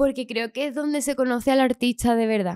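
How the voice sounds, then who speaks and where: A woman talks at a moderate pace with ordinary pitch variation, the sound dry with no echo and the background quiet. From Andalusia, Chiclana (Cádiz). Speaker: singer. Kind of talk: casual interview. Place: studio. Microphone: studio mic.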